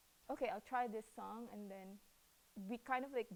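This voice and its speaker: A woman with a Cebuano accent talks at a fairly quick pace. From Philippines. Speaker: rapper and hip-hop artist. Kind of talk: interview. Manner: hesitant, many fillers.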